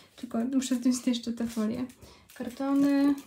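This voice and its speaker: Over light background noise, a woman talks very slowly in a high voice. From Poland. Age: 20s. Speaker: vlogger. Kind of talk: casual vlog. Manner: halting. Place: home room. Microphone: phone near.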